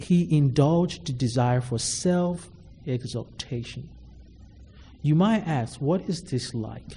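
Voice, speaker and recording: Somewhat breathy and dark, mellow in tone, a man speaks at a fairly high pitch and a fairly slow pace, with long, frequent pauses. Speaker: preacher. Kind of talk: sermon. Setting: church. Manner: formal.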